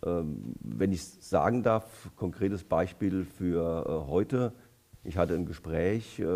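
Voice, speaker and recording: Very slowly, a man speaks with a very deep, low pitch, ordinary pitch variation and a dark, mellow tone. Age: 60s. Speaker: politician; election candidate. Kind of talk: election debate. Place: hall. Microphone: headset.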